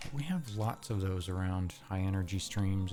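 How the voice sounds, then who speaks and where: Over music in the background, a man talks in a calm tone with a very deep, low pitch and fairly even intonation. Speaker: video game streamer. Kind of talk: casual live stream chat. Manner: calm, low energy.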